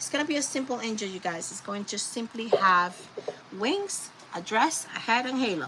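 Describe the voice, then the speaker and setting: With long, frequent pauses and lively intonation, a woman speaks at a fairly high pitch against noticeable background noise. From Colombia. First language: Spanish. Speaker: craft YouTuber. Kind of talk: live craft tutorial. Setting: livestream. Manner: casual, chatty.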